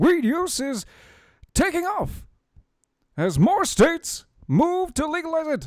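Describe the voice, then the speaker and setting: A put-on character voice, high in pitch and fairly slow, broken by long, frequent pauses. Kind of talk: formal broadcast news. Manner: formal, measured, announcer-like.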